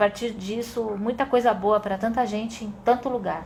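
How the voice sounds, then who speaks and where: A woman speaks at a fairly high pitch. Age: 50s. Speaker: adventure sports instructor. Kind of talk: casual chat. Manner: animated.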